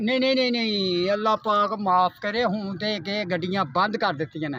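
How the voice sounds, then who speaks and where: A man's high, raised and projected voice, bright and sharp in tone, with ordinary pitch variation. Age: old. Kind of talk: interview answer. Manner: simple, earnest.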